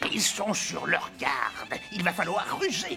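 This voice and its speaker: Over clear music in the background, a man uses a cartoonish character voice pitched high, speaking at a fairly slow pace. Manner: bossy, scheming.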